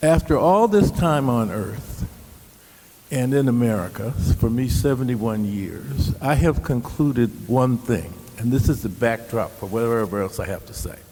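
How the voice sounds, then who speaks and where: With lively intonation and a moderate pace, a man speaks at medium pitch over noticeable background noise. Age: 70s. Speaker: panelist. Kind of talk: panel discussion. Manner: animated.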